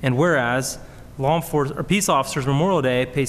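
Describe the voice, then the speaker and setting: Speaking at a very fast pace, a man shows ordinary pitch variation. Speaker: council member. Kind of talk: formal reading of proclamation. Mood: solemn, formal. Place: hall. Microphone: podium.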